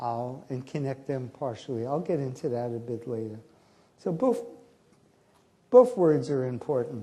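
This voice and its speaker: With an American accent and a dark, mellow tone, a man's voice swings very widely in pitch against audible room echo. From US, New York (Bronx). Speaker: professor, conference keynote speaker. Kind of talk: lecture. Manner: animated.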